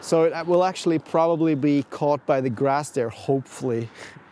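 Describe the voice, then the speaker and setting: Noticeable background noise sits behind the speech. The delivery has a moderate pace and fairly even intonation. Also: man. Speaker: RC car hobbyist vlogger. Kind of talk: casual vlog narration. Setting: outdoors in parking lot. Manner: hesitant, many fillers.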